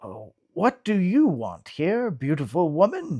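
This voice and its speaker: Putting on a character voice at a high pitch, a man speaks at a fairly slow pace with very wide pitch swings on a very clean recording with a silent background. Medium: read story. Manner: kind, gentle, unhurried.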